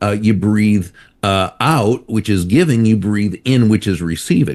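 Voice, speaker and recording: An unremarkable speaking voice talks at a fairly slow pace. Its pitch variation is ordinary. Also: man, fairly low pitch for a man. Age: 60s. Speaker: author and speaker. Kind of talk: interview.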